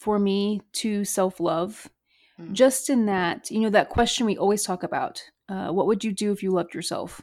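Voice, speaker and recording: The recording is very clean, with a silent background. A woman talks at a moderate pace in a plain, everyday voice, fairly high in pitch with ordinary pitch variation. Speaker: podcast co-host. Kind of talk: casual chat.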